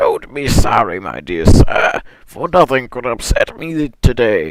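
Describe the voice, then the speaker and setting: A man's put-on character voice, squeaky, medium in pitch, at a fairly slow pace. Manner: cheerful, smiling, polite.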